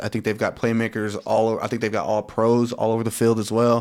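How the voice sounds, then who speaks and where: A man's medium-pitched voice at a fairly quick pace, on a very clean recording with a silent background. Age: young. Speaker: football podcast co-host. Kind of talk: casual chat. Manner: animated.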